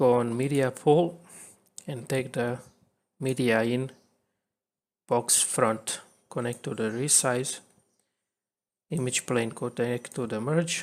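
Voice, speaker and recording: This man talks at a very slow pace, leaving long, frequent pauses. His voice sits at a medium pitch with fairly even intonation and a non-native accent. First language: not English. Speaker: video editing tutorial creator. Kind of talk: tutorial. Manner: halting.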